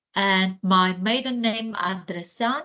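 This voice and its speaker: A woman with a Ukrainian accent speaks with ordinary pitch variation against noticeable background noise. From Ukraine. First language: Ukrainian or Russian. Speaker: educational psychologist. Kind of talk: guest talk to students.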